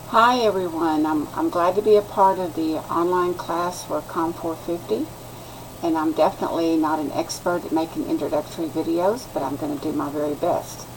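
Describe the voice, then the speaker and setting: A woman with an American accent and a fairly low pitch, at a moderate pace with ordinary pitch variation, over noticeable background noise. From West Texas. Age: 60s. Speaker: student. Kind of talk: class introduction video. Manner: halting.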